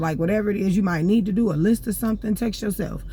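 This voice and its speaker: A woman speaks at a medium pitch. Her voice is somewhat breathy. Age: 30s. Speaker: vlogger. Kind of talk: casual monologue. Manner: unscripted, rambling, with fillers.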